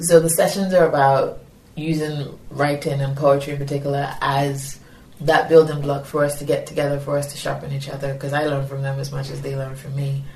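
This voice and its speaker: Speaking in a Yoruba accent, a woman with a very deep, low pitch talks at a fairly quick pace in a monotone, flat intonation, with big swings in loudness. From Nigeria. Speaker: poet and educator. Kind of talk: interview with poetry reading. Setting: poetry festival.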